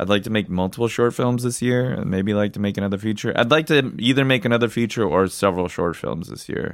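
A man's fairly low voice, with ordinary pitch variation, rushes along at a very fast pace. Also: hardly any pauses. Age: 30s. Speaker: independent filmmaker and podcast co-host. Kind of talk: casual chat.

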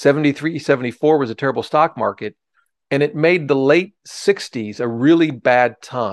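Against a quiet background, a man with an American accent and a plain, everyday voice talks at a moderate pace, fairly high in pitch with ordinary pitch variation and a dry, close sound with no echo. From Ohio. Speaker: personal finance author and former securities lawyer. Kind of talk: interview, explaining investing.

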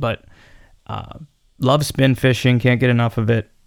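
Speaking at a moderate pace, a man with a western Pennsylvania accent keeps a medium pitch. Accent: western Pennsylvania American. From Pennsylvania, Cambria County. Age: 30s. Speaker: podcast host, outdoorsman. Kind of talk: solo podcast monologue. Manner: casual, filler-heavy.

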